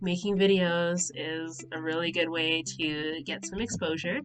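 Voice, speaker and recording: A fairly low-pitched woman at a fairly slow pace, with music in the background. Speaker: nonprofit founder. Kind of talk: casual talk to camera. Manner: hesitant, nervous.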